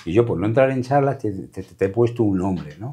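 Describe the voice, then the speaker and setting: Against a quiet background, a man with a dark, mellow tone and fairly low pitch talks at a fairly quick pace, his pitch swinging very widely. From Madrid, Spain (Caño Roto, Gitano community); Madrid. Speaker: flamenco guitarist; interviewee. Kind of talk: interview. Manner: halting, repeating words. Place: studio.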